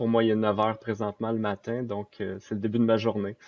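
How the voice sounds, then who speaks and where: Speaking in a Quebec accent, a man with a fairly low pitch talks at a fairly quick pace. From Quebec, Saint-Jérôme. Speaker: software developer. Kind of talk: casual chat.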